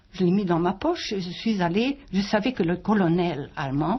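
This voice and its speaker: A woman speaks at a fairly slow pace. Her voice is somewhat breathy, with lively intonation. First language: German (speaking French). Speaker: author and wartime witness. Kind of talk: interview. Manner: halting.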